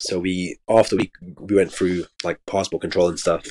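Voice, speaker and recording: A man's very deep, low voice at a moderate pace, in a dry, close sound with no echo. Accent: London. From London. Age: 20s. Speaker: travel content creator. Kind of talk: casual chat.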